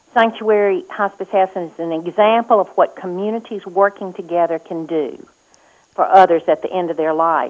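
This woman speaks with a Mississippi accent. Her pitch is medium. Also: ordinary pitch variation, moderate pace. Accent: US Southern (Mississippi). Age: 60s. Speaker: political candidate. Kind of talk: radio interview.

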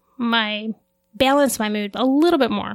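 This woman has an unremarkable speaking voice, pitched fairly high. She talks at a moderate pace with fairly even intonation. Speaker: pharmacy technician. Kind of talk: casual interview.

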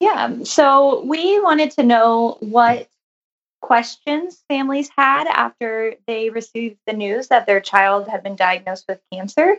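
At a fairly slow pace, a woman speaks in a plain, everyday voice, fairly high in pitch, with lively intonation. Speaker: pediatrics resident. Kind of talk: interview conversation.

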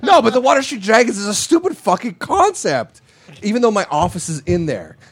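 Over noticeable background noise, the speaker talks at a fairly quick pace with very wide pitch swings. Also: man. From Montreal, Quebec. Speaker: website owner. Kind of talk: casual chat. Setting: studio with live audience.

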